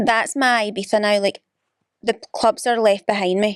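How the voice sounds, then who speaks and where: A woman in a Glaswegian accent, at a moderate pace. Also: dry, close sound with no echo. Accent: Glaswegian Scottish. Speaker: podcast co-host. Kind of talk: casual chat.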